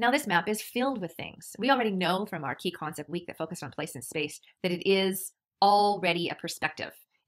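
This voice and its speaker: A woman's medium-pitched, unremarkable speaking voice, with lively intonation, big swings in loudness and a fairly quick pace. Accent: Canadian. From Canada. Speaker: university lecturer. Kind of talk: lecture.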